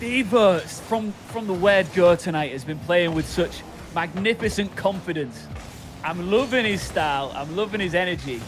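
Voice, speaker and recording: With music in the background, a man with a Hull accent talks in a high voice, with lively intonation and big swings in loudness. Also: moderate pace. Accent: northern English (Hull). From northern England, Hull. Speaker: esports caster. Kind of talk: live commentary. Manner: animated.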